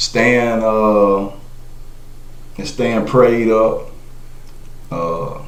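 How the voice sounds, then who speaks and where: A man with a South Carolina accent speaks with fairly even intonation, heard with audible room echo and noticeable background noise. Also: medium pitch for a man. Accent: Southern US (South Carolina). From South Carolina (Monetta, rural). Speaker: podcast guest. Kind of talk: casual interview.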